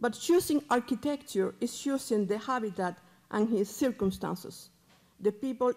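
Pitch varies in an ordinary way as the words come at a fairly slow pace. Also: woman. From Cuba. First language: Spanish. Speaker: museum curator; speaker. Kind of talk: reading prepared paper. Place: hall. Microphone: podium.

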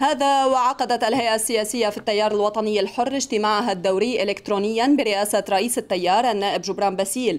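At a fairly high pitch, a woman speaks at a moderate pace with very even loudness, ordinary pitch variation and hardly any pauses. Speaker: TV news anchor. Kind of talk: television evening news read. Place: studio. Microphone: podium.

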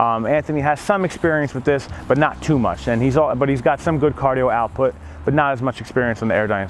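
With a dry sound with no echo and light background noise, a man talks at a very fast pace with ordinary pitch variation. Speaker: gym coach. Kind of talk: tutorial. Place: gym. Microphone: lapel.

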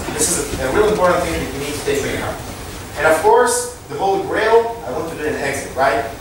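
Strong room echo and noticeable background noise surround a man who speaks at a very fast pace and high pitch, with very wide pitch swings. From Israel. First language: Hebrew. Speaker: startup co-founder and tech executive. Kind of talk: lecture. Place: hall.

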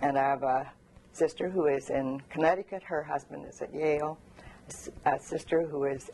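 At a moderate pace and with ordinary pitch variation, the woman speaks in a very deep, low pitch. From Korea, Canadian missionary family. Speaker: oral history interviewee. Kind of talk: oral history interview. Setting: at her home.

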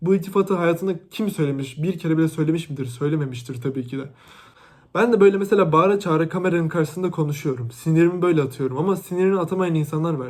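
Over a silent background in a very clean recording, a man speaks very fast in an animated tone, his fairly high pitch showing ordinary variation. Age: 20s. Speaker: YouTuber, university student. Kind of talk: vlog rant to camera.

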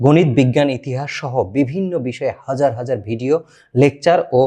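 Against a quiet background, a man with a fairly high pitch speaks in a dark, mellow tone with lively intonation. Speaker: YouTube channel host. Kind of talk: scripted narration; direct appeal to viewers. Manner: emotional, declamatory.

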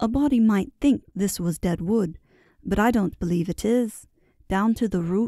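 Plain reading aloud, its pitch moving in an ordinary way

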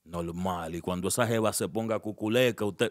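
The man speaks with a fairly low pitch. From Dominican Republic, Santo Domingo; Dominican Republic. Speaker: social media personality, relationship commentator; relationship commentator. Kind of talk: casual interview. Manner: animated. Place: studio. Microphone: studio mic.

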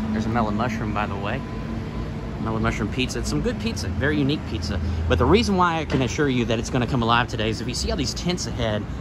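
Very fast speech from a man, with loud noise in the background. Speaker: travel vlogger. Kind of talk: walking tour commentary. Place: street. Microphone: phone near.

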